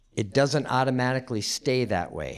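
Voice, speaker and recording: Speaking fairly slowly in a plain, everyday voice, a man keeps a medium pitch with ordinary pitch variation on a very clean recording with a silent background. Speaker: former pastor, guest preacher. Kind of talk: sermon.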